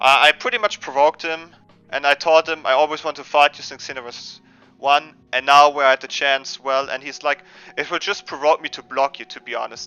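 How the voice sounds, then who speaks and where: With music in the background, a man with a slight German accent talks at a fairly quick pace in a fairly high voice, his intonation fairly even and his loudness swinging widely. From Germany. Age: 20s. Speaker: gaming streamer. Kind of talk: casual live stream chat. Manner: halting, many repetitions and fillers.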